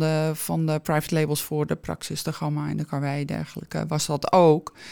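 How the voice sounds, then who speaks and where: Her voice sits very deep and low, with a dark, mellow tone. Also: very clean recording, silent background. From Alkmaar, North Holland, Netherlands. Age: 50s. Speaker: shop owner, entrepreneur. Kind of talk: interview.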